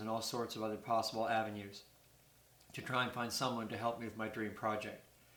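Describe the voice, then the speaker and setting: A man talks at a fairly quick pace with a medium pitch. Audible room echo and noticeable background noise surround his voice. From Canada, New Brunswick (Burt's Corner, near Fredericton). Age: 60s. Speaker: retired poultry farm worker and amateur stone collector. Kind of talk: prepared appeal read to camera.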